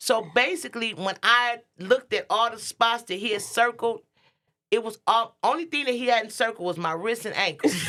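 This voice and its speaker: Her fairly high, bright, sharp voice sounds animated, with lively intonation and big swings in loudness as the woman speaks. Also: moderate pace. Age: 50s. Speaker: talk show host. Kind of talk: casual chat.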